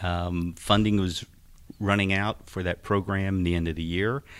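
A man with an American accent speaks at a moderate pace in an unremarkable speaking voice, fairly low in pitch. The recording is very clean with a silent background. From Philadelphia, US. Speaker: extension horticulture specialist. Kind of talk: radio interview. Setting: studio.

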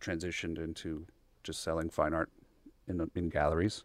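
A man speaks with an American accent. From Texas, Bryan. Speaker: oil painter and university lecturer. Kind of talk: interview. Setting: radio studio.

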